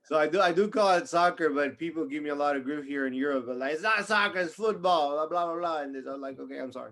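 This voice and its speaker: A man speaks with an American accent at a fairly high pitch and ordinary pitch variation. He goes at a very fast pace with hardly any pauses. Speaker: podcast host. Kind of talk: casual chat. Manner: halting, repeats words.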